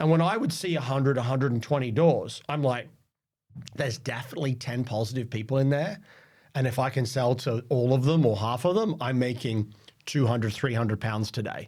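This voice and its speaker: A man speaks fairly quickly at a medium pitch with ordinary pitch variation. His voice is somewhat breathy. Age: 40s. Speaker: sales leader. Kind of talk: interview.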